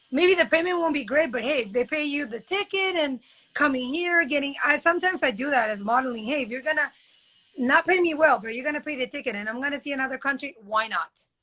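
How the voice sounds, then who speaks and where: A woman speaks very fast in a raised, projected voice. Her high pitch moves with lively intonation. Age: 30s. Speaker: model. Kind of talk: casual chat. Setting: live video stream.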